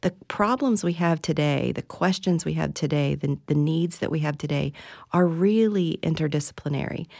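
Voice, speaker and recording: A woman's very deep, low voice with an American accent, at a moderate pace with ordinary pitch variation, in a very clean recording with a silent background. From West Virginia. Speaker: university research administrator. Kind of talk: interview. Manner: hesitant, many repetitions and fillers.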